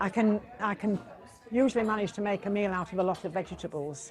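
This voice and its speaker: Moderately paced speech from a woman at medium pitch, with ordinary pitch variation and music in the background. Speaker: pensioner. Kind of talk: interview.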